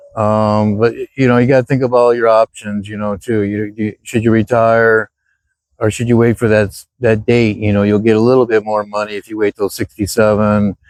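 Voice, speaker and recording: This man's pitch is fairly low. He talks at a moderate pace with monotone, flat intonation. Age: 60s. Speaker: retired vlogger. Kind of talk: casual vlog monologue. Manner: halting, many fillers.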